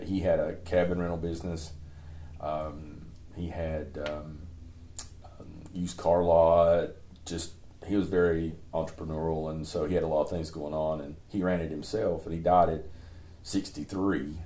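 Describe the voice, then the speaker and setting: A man speaks with an Appalachian accent at a very deep, low pitch. His intonation is monotone and flat, and his pace is moderate. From East Tennessee. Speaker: former parks and recreation director. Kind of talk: interview answer.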